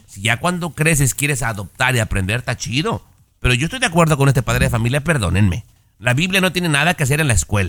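Talking at a very fast pace, a man with vocal fry and a medium pitch makes very wide pitch swings. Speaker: radio co-host. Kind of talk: casual chat.

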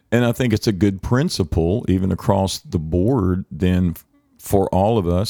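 A man speaks at a moderate pace with fairly low pitch and ordinary pitch variation. The sound is dry and close with no echo, and music plays in the background. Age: 60s. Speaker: worship leader. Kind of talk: casual chat.

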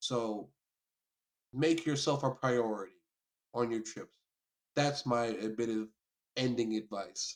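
Speaking with an American accent, a man has a medium pitch and ordinary pitch variation. His pace is fairly slow, with long, frequent pauses. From New York, later US South. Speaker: photographer and author. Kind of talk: casual chat.

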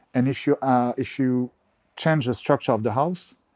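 Someone with a French accent speaks at a moderate pace in a very clean recording with a silent background. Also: man. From France, Bordeaux. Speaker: real estate agent. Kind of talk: interview. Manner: halting, many fillers and repetitions.

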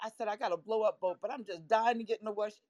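A woman's very fast talk with a New York accent, in a dry, close sound with no echo. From Florida. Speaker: photography and film teacher. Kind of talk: casual chat. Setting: live online audio room.

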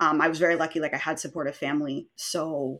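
A woman speaks with a Maritime Canadian accent on a very clean recording with a silent background. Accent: Canadian (Maritimes). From Canada, rural New Brunswick. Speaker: eating disorder survivor sharing her story. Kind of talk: interview testimony. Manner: animated.

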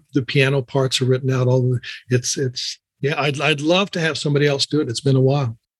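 Somewhat breathy and fairly high, a man's voice carries fairly even intonation in a dry, close sound with no echo. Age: 70s. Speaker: playwright and speaker. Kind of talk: interview.

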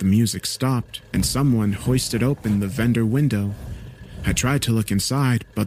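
The pitch rises and falls in a normal way. It is a natural reading voice.

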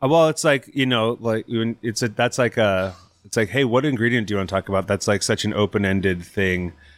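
On a very clean recording with a silent background, a man with an American accent and a plain, everyday voice talks at a fairly quick pace, with fairly low pitch and ordinary pitch variation. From US West Coast (Napa, California). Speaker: chef and restaurant owner. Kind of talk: interview. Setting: in person at his restaurant.

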